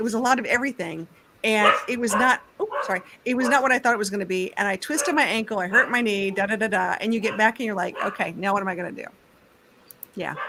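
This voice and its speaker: Over noticeable background noise, a woman talks at a very fast pace with a fairly high pitch and ordinary pitch variation. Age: 50s. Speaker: youtuber guest. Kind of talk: casual chat.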